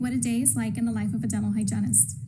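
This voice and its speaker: Amid noticeable background noise and audible room echo, a woman speaks in a very deep, low pitch with fairly even intonation. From El Salvador. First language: Spanish. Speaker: dental hygienist. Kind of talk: prepared career talk.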